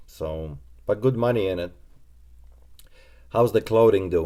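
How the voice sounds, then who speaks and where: The voice has a dark, mellow tone and a Polish accent, captured in a very clean recording with a silent background. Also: man. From Poland. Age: 20s. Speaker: reseller and shop owner. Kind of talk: live stream Q&A. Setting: live stream.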